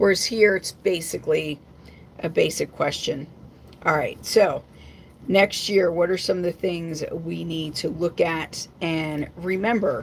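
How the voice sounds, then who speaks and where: Here a woman has an unremarkable speaking voice with a fairly low pitch and ordinary pitch variation. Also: fairly slow pace. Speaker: psychic intuitive reader. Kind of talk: live stream card reading.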